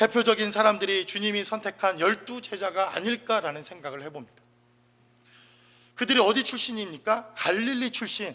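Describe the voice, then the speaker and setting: A man with a high pitch and a bright, sharp tone speaks in a raised, projected voice. His pitch varies in an ordinary way at a moderate pace, with big swings in loudness. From South Korea, Chungcheong province. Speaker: pastor. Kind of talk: sermon.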